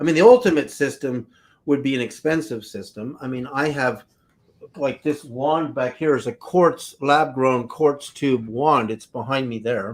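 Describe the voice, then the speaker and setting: With a plain, everyday voice, a man talks at a fairly slow pace in a fairly high pitch with ordinary pitch variation. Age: 60s. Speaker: frequency healing product seller. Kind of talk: live stream talk. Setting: live video stream.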